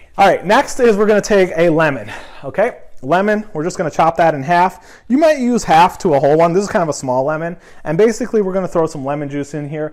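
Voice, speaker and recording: This man's voice is high-pitched and upbeat, with lively intonation. He talks at a very fast pace. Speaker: cooking youtuber. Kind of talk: cooking tutorial. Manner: casual, upbeat.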